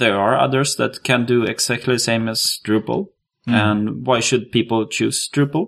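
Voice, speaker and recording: With a Swedish accent, a man at medium pitch speaks in very even loudness and ordinary pitch variation over a quiet background. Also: moderate pace. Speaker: podcast co-host, web developer. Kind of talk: interview; casual chat.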